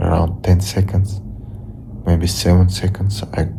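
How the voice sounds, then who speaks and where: In a Russian accent, a man speaks with a very deep, low pitch and monotone, flat intonation. Noticeable background noise and audible room echo are present. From Russia (Ufa). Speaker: vlogger. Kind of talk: casual vlog monologue. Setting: home, lying on the floor. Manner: halting, repetitive.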